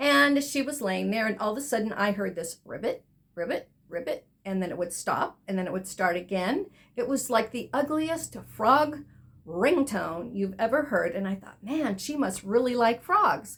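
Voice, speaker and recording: At a moderate pace, a woman talks in a fairly high pitch with very wide pitch swings. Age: 60s. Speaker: spa owner and beauty podcast host. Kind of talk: casual podcast monologue.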